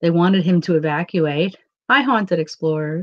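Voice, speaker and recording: A woman speaks with a New York accent at a fairly low pitch. The recording is dry and close, with no echo. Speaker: paranormal channel host. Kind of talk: casual live-stream chat.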